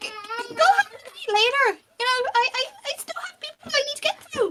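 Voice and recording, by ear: A woman puts on a character voice. It is squeaky and extremely high in pitch. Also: moderate pace.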